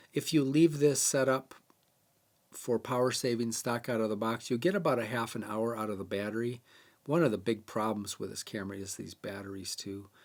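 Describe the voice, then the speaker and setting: An ordinary speaking voice from a man, at a fairly quick pace, with ordinary pitch variation. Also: medium pitch for a man. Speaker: bird photography camera tutorial host. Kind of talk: tutorial.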